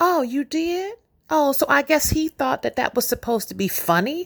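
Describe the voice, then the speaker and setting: A woman speaks at a moderate pace in a high voice with very wide pitch swings. The recording is dry and close with no echo. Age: 50s. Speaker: podcast host. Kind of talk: testimony. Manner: animated.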